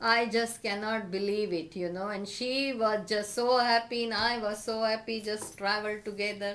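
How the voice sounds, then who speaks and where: Hardly pausing, a woman speaks with a Marathi accent at a fairly high pitch and with monotone, flat intonation, over noticeable background noise. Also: moderate pace. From India, Maharashtra (Akola, Vidarbha). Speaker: interviewee. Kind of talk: casual interview chat.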